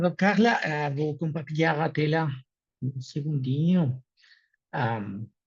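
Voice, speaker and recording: Somewhat breathy, the voice moves at a very slow pace with long, frequent pauses. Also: man, fairly high pitch for a man, ordinary pitch variation. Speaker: technologist at a human rights network. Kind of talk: presentation.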